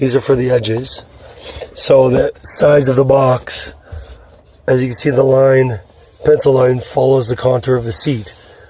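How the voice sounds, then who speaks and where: A man at medium pitch and moderate pace, with monotone, flat intonation, long, frequent pauses, and noticeable background noise. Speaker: car audio DIY hobbyist. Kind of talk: tutorial. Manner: casual, informal.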